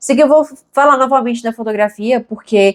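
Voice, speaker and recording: In a dry, close recording with no echo, a woman talks at a very fast pace with ordinary pitch variation. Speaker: YouTuber and photographer. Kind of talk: casual vlog monologue. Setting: home room, filming to camera.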